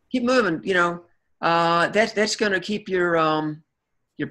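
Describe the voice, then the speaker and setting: A man's bright, sharp tone with an Australian accent at a moderate pace. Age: 60s. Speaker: chiropractor. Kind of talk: interview. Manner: halting, many repeated words.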